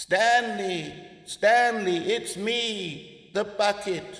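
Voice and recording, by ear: In a put-on character voice, the words come at a very slow pace, with a fairly bright tone and vocal fry. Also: man, high pitch for a man, ordinary pitch variation.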